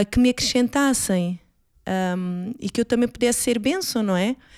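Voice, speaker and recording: Speaking at a moderate pace, a woman with a normal speaking voice and fairly high pitch keeps her intonation fairly even in a very clean, dry, close recording with a silent background and no echo. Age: 40s. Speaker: mother. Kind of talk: casual chat.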